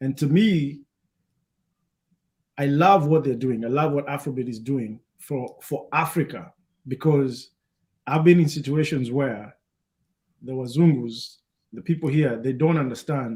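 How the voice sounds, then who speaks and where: Fairly high in pitch and somewhat breathy, a man talks at a fairly slow pace with ordinary pitch variation and long, frequent pauses. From Kenya. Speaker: DJ and talk show host. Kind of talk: panel discussion. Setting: live stream.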